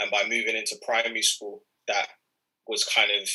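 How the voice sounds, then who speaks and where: The speaker is a man with a London accent. He talks at a fairly quick pace. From North London (Enfield). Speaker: youth mentor and entrepreneur. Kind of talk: talk to an audience. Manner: halting.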